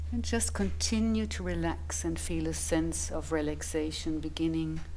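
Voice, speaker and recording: A woman speaks at a fairly slow pace in a soothing, gentle tone. Light background noise is present. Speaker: meditation guide and sound bath facilitator. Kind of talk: guided meditation. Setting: live group session in a room with singing bowls. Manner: slow, soothing, gentle pacing with long pauses. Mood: calm, soothing. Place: home room.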